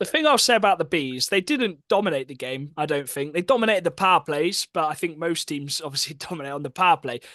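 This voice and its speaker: Over a quiet background, a man with a high pitch and a bright, sharp tone talks at a very fast pace with hardly any pauses, in a dry, close sound with no echo. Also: ordinary pitch variation. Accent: English. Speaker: hockey podcast co-host. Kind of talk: casual chat.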